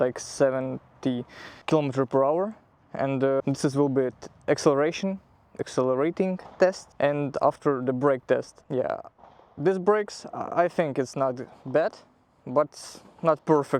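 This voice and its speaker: With a non-native accent, a man speaks at a fairly high pitch with ordinary pitch variation in a dry, close sound with no echo. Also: fairly slow pace. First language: not English. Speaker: motorcycle vlogger. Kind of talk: casual bike review. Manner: halting.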